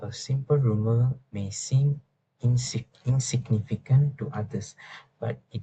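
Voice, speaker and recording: A man with a non-native accent speaks at a fairly slow pace, his dark, mellow tone somewhat breathy and his intonation fairly even. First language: not English. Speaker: university student. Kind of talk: class presentation. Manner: halting, with fillers and restarts; formal.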